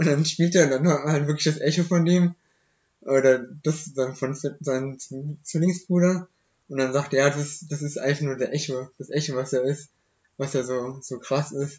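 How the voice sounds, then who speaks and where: A man's somewhat breathy, fairly high voice at a moderate pace, with fairly even intonation. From Germany, Hochheim am Main (Hesse). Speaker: young local podcast guest. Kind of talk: casual chat. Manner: halting.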